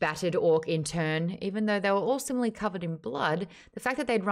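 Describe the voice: Lively intonation during plain reading aloud.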